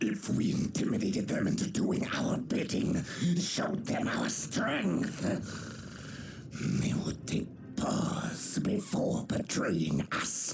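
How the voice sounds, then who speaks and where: A man's cartoonish character voice at a fairly slow pace, over clear background noise. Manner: haughty, contemptuous.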